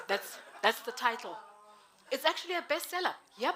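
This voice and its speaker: Very wide pitch swings at a moderate pace. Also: woman. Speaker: MC at networking event. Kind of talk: event MC introduction. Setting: live event with audience. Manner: animated.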